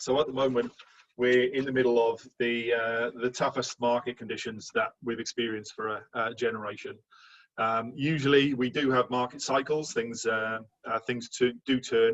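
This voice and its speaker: A man speaks at a medium pitch in a Welsh accent. His delivery is monotone and flat, at a moderate pace. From Wales. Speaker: insurance manager. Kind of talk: presentation.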